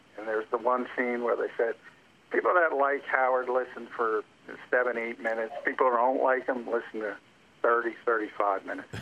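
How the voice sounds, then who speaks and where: An ordinary speaking voice from a man, medium in pitch, with fairly even intonation and a fairly quick pace. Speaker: NFL analyst. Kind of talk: casual interview.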